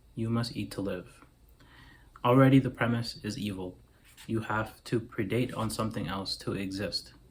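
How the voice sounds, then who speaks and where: Pausing long and often, a man speaks at a medium pitch with fairly even intonation and a somewhat breathy sound. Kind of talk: philosophical monologue to camera. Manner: slow, clear enunciation.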